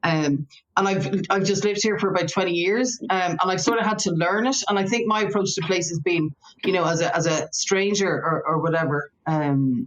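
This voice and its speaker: With a Northern Irish accent, a woman talks at a moderate pace in a medium pitch, with ordinary pitch variation and very even loudness. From Northern Ireland. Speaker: short story writer. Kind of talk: panel conversation. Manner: halting, many fillers.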